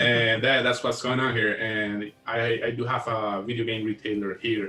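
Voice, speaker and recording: A man speaks with a Costa Rican accent in a monotone, flat intonation. Music plays behind him. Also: medium pitch for a man, moderate pace. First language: Spanish. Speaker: video game store owner, podcast co-host. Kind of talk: casual chat. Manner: halting, repeats words.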